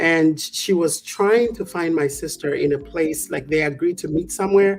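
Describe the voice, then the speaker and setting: Moderately paced speech comes from a woman. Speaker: talk show co-host. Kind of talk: casual chat.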